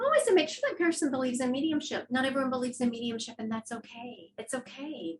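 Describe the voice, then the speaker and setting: Noticeable background noise accompanies a woman whose high-pitched voice shows ordinary pitch variation. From Louisiana. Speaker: psychic medium. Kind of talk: interview.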